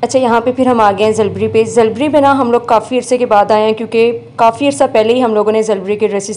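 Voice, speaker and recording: Dark and mellow, the tone keeps a fairly even intonation. Delivery runs at a moderate speed. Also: woman. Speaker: vlogger. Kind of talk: vlog narration. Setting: shopping mall.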